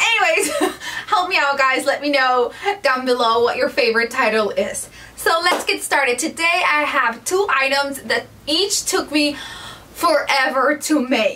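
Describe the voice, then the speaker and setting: Over noticeable background noise, a woman with a high pitch uses a raised, projected voice, lively intonation and very even loudness at a fairly slow pace. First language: Spanish. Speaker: DIY home decor YouTuber. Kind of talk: casual vlog tutorial. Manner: animated.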